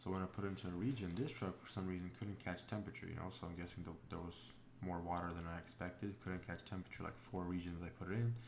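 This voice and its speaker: Soft-spoken delivery comes at a very fast pace with hardly any pauses. Audible room echo surrounds it. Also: man, very deep, low pitch for a man, ordinary pitch variation. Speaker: diesel truck mechanic. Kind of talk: tutorial narration. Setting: home, voiceover recorded with child asleep. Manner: soft-spoken, talking quietly; hesitant, many fillers. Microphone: may not pick up quiet voice.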